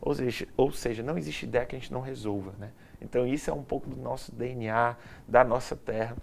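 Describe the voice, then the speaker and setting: A fairly quick man's voice in a strong Ceará accent. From Ceará, Brazil. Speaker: event production company CEO. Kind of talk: interview.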